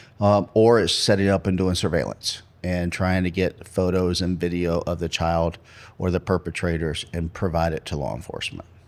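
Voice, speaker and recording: Very deep, low male speech with an American accent, moderate pace and fairly even intonation, on a very clean recording with a silent background. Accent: North Carolina accent, comes out at times. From North Carolina. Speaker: pastor and search and rescue leader. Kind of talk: podcast interview.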